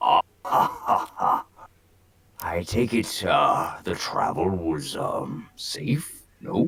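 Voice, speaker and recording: A man uses a put-on character voice with a raspy sound. His pace is very slow. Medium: actual play. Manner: hesitant, halting.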